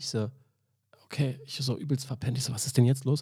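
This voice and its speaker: At a very fast pace, a man speaks in a dark, mellow, somewhat breathy voice of medium pitch with fairly even intonation. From Berlin, Germany. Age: 30s. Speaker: barista. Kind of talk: casual chat. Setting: hotel.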